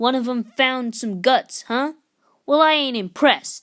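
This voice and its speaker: Using a put-on character voice, a man speaks at an extremely high pitch with ordinary pitch variation. His pace is moderate, and the recording is very clean with a silent background. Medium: read story. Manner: sneering, menacing.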